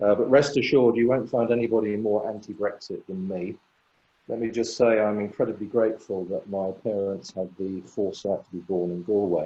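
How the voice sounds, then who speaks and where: This man has an English accent. His pitch is fairly low and his intonation fairly even. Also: fairly quick pace. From England. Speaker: patent attorney. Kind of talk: webinar presentation.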